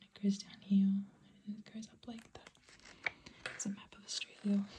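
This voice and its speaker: A whisper, neither hurried nor slow. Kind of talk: ASMR brochure reading. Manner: whispered.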